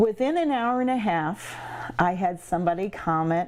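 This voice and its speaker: A woman talks at a moderate pace with a medium pitch and lively intonation. Hers is an ordinary speaking voice. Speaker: winery owner. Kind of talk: interview answer.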